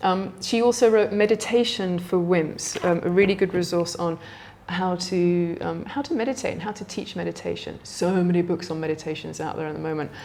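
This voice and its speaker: A woman at a fairly quick pace with fairly even intonation amid noticeable background noise. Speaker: yoga teacher. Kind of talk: casual talk-through of books. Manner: hesitant with many fillers.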